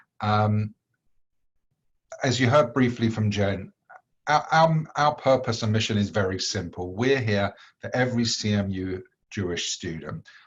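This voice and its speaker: A man's fairly low, somewhat breathy voice with a British accent, ordinary pitch variation, a fairly slow pace and long, frequent pauses. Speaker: executive director of a campus organization. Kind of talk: welcome presentation.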